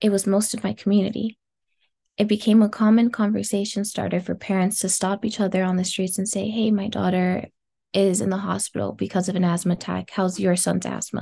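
An American-accented woman talks at a fairly quick pace and medium pitch, with vocal fry. Her intonation is monotone and flat, against a quiet background. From US West Coast, South Los Angeles. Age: 20s. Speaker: climate justice activist. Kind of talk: interview.

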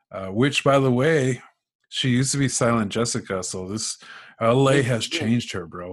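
In a plain, everyday voice, a man talks at a fairly slow pace against a quiet background. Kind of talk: casual chat. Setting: video call.

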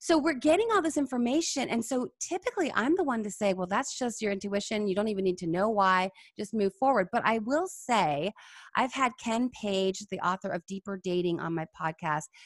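A woman talks at a fairly quick pace in an ordinary speaking voice, fairly high with lively intonation. The sound is dry and close with no echo. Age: 30s. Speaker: psychologist and dating coach. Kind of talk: casual interview.

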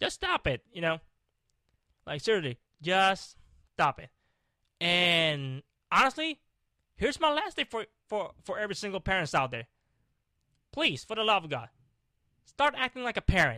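A man shouts in a raised, projected voice at a high pitch, his tone bright, sharp, angry and animated, with very wide pitch swings. He keeps a moderate pace with long, frequent pauses, and the very clean recording has a silent background and a dry, close sound with no echo. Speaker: podcast host. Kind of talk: motivational rant. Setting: video recording. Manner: angry, emphatic, repeating short commands; animated, passionate, swearing, scolding the listener.

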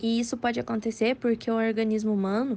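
A woman's fairly high voice in a Brazilian accent, dark and mellow in tone. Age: 20s. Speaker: nutrition student, podcast co-host. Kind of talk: scripted educational explanation.

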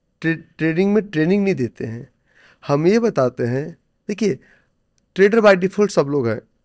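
Pausing long and often, a man with a high pitch speaks at a moderate pace with lively intonation, in a dry, close sound with no echo and a quiet background. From India, Bihar (village Noni). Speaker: stock trader and coach. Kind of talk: interview.

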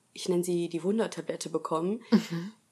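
A woman's medium-pitched voice, dark and mellow, with fairly even intonation. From Germany, Essen (Ruhr area). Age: 20s. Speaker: nurse and new mother sharing birth experience. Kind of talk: personal testimony in interview.

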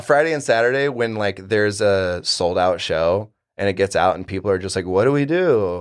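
In an ordinary speaking voice, a man with an American accent talks at a fairly quick pace and a fairly low pitch. His intonation is lively, and the background is quiet. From Florida panhandle. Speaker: bartender. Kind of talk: casual chat.

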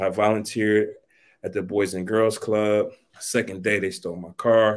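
In a very clean recording with a silent background, a man talks in a flat monotone at a fairly low pitch. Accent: American. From US Midwest, East Cleveland, Ohio. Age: 50s. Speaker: graphic designer and educator. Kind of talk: casual interview.

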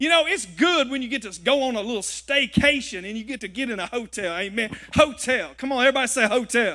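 A man with a Southern US accent, his voice raised and projected, extremely high-pitched, bright and sharp, animated with lively intonation, at a very fast pace with hardly any pauses. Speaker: guest preacher. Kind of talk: sermon. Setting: church with live congregation. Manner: animated, call-and-response, rallying the crowd; conversational, humorous, folksy.

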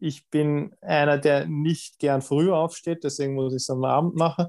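Fairly slow pace with fairly even intonation. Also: man. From Lower Austria, south of Vienna. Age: 30s. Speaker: triathlete and dentist. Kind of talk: interview. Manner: halting, many fillers and repetitions.

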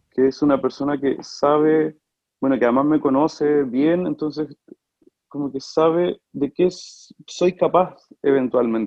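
An unremarkable speaking voice moves at a fairly slow pace with fairly even intonation. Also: man, fairly high pitch for a man. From Chile, Talca. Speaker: opera singer. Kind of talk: casual interview.

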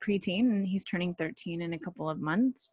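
A woman with an American accent speaks at medium pitch in a somewhat breathy voice, with a dry, close sound, no echo, and a quiet background. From Southern California. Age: 30s. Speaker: podcast host. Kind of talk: solo podcast monologue. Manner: casual, hesitant with fillers.

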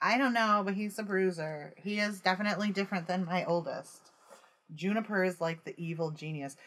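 In an unremarkable speaking voice, the words come at a fairly quick pace with ordinary pitch variation. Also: woman, medium pitch for a woman. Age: 50s. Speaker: podcast co-host. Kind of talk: casual chat.

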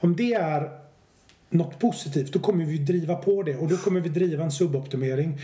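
A man talks fairly quickly in a high pitch, with a dark, mellow tone and ordinary pitch variation. Room echo is audible. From Swedish west coast, Stenungsund. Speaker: business researcher and author. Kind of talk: podcast interview.

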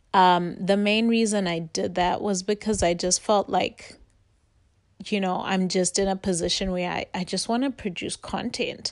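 A woman with an ordinary speaking voice talks at a moderate pace in a medium pitch with fairly even intonation over a quiet background. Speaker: podcast host. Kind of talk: casual chat. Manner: casual, filler-heavy.

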